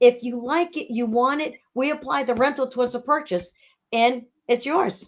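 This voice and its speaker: The speaker has a strong Boston accent. The pace is moderate, with ordinary pitch variation. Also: woman, high pitch for a woman. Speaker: RV rental and sales business owner. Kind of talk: casual interview. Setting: Facebook live show.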